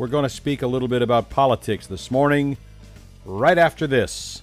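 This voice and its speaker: Music plays in the background. A man speaks over it at a medium pitch. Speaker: podcast host. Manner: animated, very involved.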